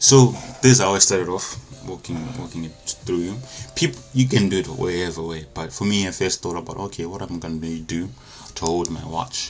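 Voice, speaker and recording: Against noticeable background noise, a man with a non-native accent speaks fairly quickly, his intonation lively and his loudness swinging widely. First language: not English. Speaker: engineering design tutor. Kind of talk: tutorial. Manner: casual, halting with self-corrections.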